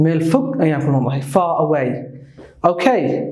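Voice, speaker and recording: A man with a British accent speaks at a moderate pace in a fairly high pitch, with audible echo from the room. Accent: uses a British. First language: Somali. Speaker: English teacher. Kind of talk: tutorial.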